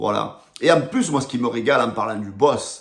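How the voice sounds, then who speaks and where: With a Marseille accent, a man talks at a moderate pace in an animated tone. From Marseille, southern France. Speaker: football fan youtuber. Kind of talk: rant to camera.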